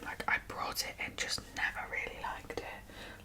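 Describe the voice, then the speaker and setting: Against noticeable background noise, a woman whispers in a relaxed tone. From UK. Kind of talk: ASMR makeup chat to camera. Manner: soft-spoken, chatty, relaxed.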